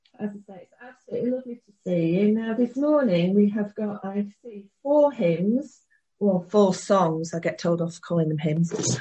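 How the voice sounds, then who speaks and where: A woman's plain, everyday voice, medium-pitched, with lively intonation, big swings in loudness and a moderate pace. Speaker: church service host. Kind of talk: church service hosting, casual. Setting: online church service over video call.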